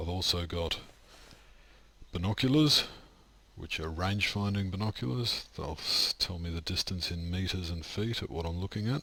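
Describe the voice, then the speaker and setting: With an Australian accent, a man talks in a very deep, low pitch with a bright, sharp, relaxed tone, ordinary pitch variation, a moderate pace, and long, frequent pauses. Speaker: video game streamer. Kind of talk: gameplay commentary. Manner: casual, relaxed.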